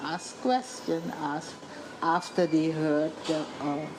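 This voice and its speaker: A woman with a Dutch accent talks at a very slow pace. Noticeable background noise runs behind her. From Suriname. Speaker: journalist and author. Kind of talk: interview.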